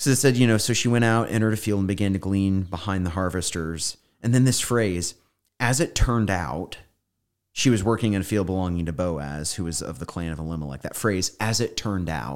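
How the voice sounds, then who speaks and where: With an American accent, a man speaks fairly quickly in a very deep, low voice with lively intonation. The recording is very clean, with a silent background. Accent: slight Southern, stronger when tired. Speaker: pastor. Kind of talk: casual Bible study chat.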